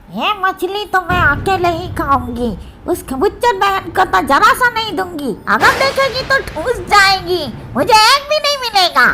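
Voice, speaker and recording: A cartoonish character voice speaks at a moderate pace. Clear background noise can be heard. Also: female-sounding voice, extremely high pitch for a woman. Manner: menacing, greedy.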